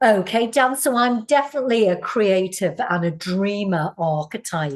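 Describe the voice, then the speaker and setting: Here a woman talks with a slight Scouse accent. Her pitch is medium and her pace fairly slow. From northern England, Liverpool. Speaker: Pilates teacher and wellness coach. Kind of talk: interview answers.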